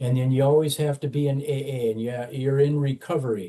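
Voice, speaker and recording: His voice is fairly high-pitched, somewhat breathy, and dark and mellow in tone. The man keeps a moderate pace. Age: 70s. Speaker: former addict in long-term recovery, corrections worker. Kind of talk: interview testimony. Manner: halting, many fillers.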